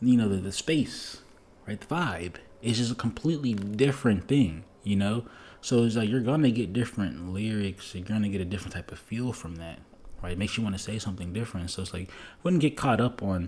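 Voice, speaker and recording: With an ordinary speaking voice, a man talks at a fairly quick pace, his fairly low pitch carried by lively intonation. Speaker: music producer. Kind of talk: casual monologue. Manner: casual, filler-heavy.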